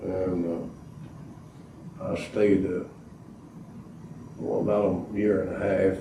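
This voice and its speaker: With an Arkansas accent, a man talks at a fairly slow pace in a fairly low voice with fairly even intonation, amid audible room echo and noticeable background noise. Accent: Southern US (Arkansas). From southwest Arkansas, US South. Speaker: war veteran. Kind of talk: oral history interview. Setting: library, in-person interview. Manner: halting, many filler uhs.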